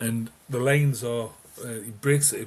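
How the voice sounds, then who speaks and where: A man with a Geordie accent speaks with fairly even intonation. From northeast England (Newcastle). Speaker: music fan guest. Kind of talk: casual chat.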